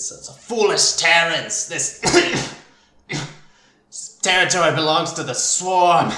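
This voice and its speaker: A man does a raspy put-on character voice at a high pitch, at a fairly slow pace. Long, frequent pauses break it up, with slight echo. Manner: menacing, declarative.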